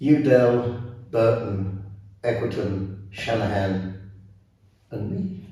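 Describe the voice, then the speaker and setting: In an English accent, a man speaks at a fairly low pitch and a very slow pace, with fairly even intonation, long, frequent pauses and audible room echo. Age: 80s+. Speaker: ballroom dance teacher and former competitor. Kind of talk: interview. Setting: dance studio. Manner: halting.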